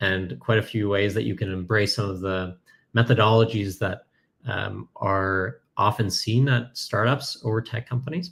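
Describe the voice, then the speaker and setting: At a fairly slow pace, a man with a Canadian accent speaks in a normal speaking voice with ordinary pitch variation, on a very clean recording with a silent background. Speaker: software company cofounder. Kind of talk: conference talk. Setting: virtual conference presentation.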